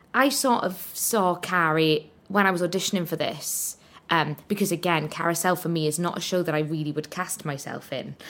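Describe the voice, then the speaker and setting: A woman with a Welsh accent, fairly low in pitch, ordinary pitch variation, moderate pace. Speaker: musical theatre performer. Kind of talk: casual interview chat.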